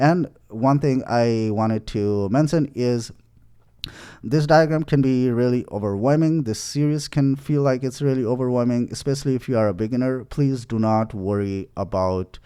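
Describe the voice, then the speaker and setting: Over a quiet background, a man with a medium pitch and a dark, mellow tone talks at a moderate pace with ordinary pitch variation. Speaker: programming course instructor. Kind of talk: tutorial. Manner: halting with fillers.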